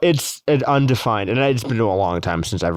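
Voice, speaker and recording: A normal speaking voice with an American accent, a fairly quick pace and ordinary pitch variation. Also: man, very clean recording, silent background. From Massachusetts, US. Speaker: podcast co-host. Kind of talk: casual chat.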